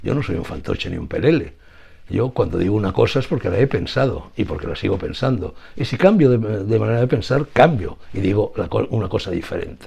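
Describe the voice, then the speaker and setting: Speaking at a fairly quick pace, a man has a dark, mellow tone at medium pitch, somewhat breathy, with lively intonation. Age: 80s+. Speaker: writer. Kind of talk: interview answer.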